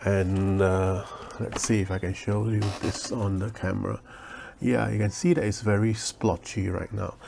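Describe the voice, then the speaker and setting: A soft-spoken man talks at a fairly low pitch. His pace is moderate and his intonation fairly even. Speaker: leatherworker. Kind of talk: tutorial. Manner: hesitant, many fillers.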